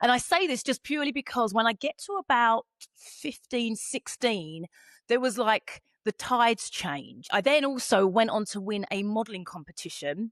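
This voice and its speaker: An animated woman's voice, fairly high-pitched with lively intonation, at a moderate pace in a dry, close sound with no echo. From England, Essex (born East London). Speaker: podcast host. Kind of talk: casual interview chat.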